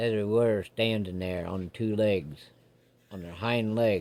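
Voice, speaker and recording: A man does a put-on character voice in a rural American accent, drawling at a fairly slow pace with fairly low pitch. His intonation stays fairly even while his loudness swings widely. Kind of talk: campfire ghost story. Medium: solo performance. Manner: folksy, drawling.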